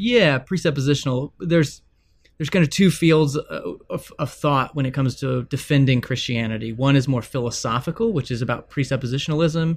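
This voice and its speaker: With an American accent, a man speaks at a fairly quick pace in a somewhat breathy voice of fairly high pitch, recorded very cleanly against a silent background. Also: ordinary pitch variation. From Texas. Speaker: author and former pastor. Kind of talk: interview conversation.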